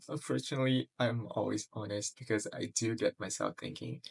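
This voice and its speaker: Quiet and somewhat breathy, a man speaks with ordinary pitch variation in a dry, close sound with no echo. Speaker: vlogger. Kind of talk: personal vlog monologue. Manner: quiet, lowered voice; halting, many fillers.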